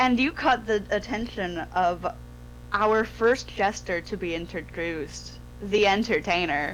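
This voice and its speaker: A woman talks fairly slowly. Behind her, music can be heard. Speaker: dungeon master. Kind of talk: casual chat.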